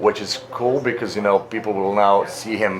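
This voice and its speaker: Moderate-paced male speech with noticeable background noise. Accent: Slavic. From Slavic country (Serbia). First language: Serbian (Slavic). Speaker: actor and voice actor. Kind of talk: interview. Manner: halting, many fillers.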